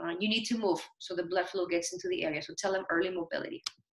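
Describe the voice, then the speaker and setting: A woman talks at a very fast pace with a non-native accent. Her pitch swings very widely. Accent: foreign. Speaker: nurse educator. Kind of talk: lecture.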